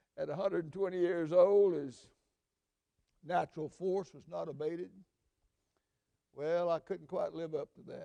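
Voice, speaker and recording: High in pitch yet dark and mellow in tone, a man speaks at a moderate pace. Long, frequent pauses and big swings in loudness mark his delivery. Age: 80s+. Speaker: pastor. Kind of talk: sermon.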